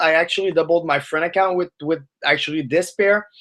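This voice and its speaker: A man's voice at a fairly high pitch. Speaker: forex trading teacher. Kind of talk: live webinar tutorial. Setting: live stream webinar. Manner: fast.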